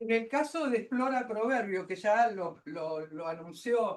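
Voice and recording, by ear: A woman talks at a slow pace with ordinary pitch variation.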